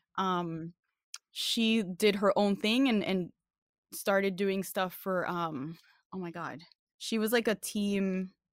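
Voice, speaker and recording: A woman with a New York accent speaks at a fairly slow pace and a medium pitch. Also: very clean recording, silent background. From New York, the Bronx. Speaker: fighting game community member. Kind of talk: casual chat.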